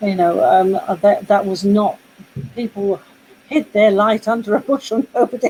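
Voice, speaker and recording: A woman with a British accent, medium pitch and ordinary pitch variation, amid noticeable background noise. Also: moderate pace. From Britain. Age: 60s. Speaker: poet. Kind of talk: casual chat. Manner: halting.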